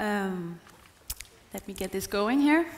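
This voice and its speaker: Noticeable background noise and audible room echo accompany a woman whose pitch varies in an ordinary way. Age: 20s. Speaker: travel blogger and motivational speaker. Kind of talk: conference talk. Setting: stage with audience.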